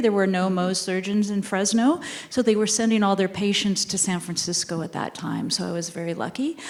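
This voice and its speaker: Noticeable background noise accompanies a woman with a medium-pitched voice. She talks at a fairly quick pace with ordinary pitch variation. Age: 60s. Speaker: dermatologist. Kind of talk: panel discussion.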